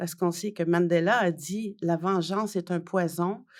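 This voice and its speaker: In a very clean recording with a silent background, a woman speaks at a very slow pace. Her fairly low voice stays monotone and flat. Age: 60s. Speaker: journalist and author. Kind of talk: interview. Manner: hesitant, many fillers.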